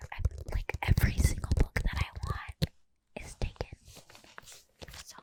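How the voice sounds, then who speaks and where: A woman whispers with big swings in loudness and long, frequent pauses, recorded with a dry, close sound and no echo. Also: moderate pace. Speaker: ASMR creator. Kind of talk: ASMR show and tell. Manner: whispered; casual, chatty.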